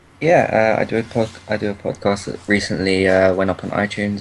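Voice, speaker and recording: Moderate pace and fairly even intonation from a man with a British accent. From UK. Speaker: podcaster and Twitch streamer. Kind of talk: casual chat.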